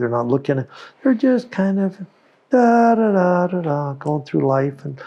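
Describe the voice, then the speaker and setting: A man with an American accent talks at a fairly slow pace in a dark, mellow tone. His pitch is high, with very wide swings. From US West Coast, Oakland, California. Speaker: company founder and inventor. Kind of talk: interview conversation. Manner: halting, repeats words.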